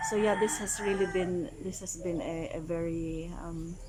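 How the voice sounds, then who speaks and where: A woman's medium-pitched voice moves very slowly with ordinary pitch variation while noticeable background noise runs underneath. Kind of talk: casual vlog talk to camera. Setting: outdoors, rooster noise in background. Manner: reflective, hesitant.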